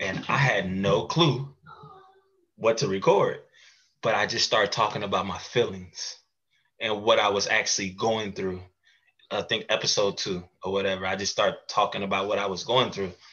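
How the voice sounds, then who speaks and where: A man talks at a moderate speed, breaking often into long pauses. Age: 30s. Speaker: mental health podcast host and advocate. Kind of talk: casual interview chat.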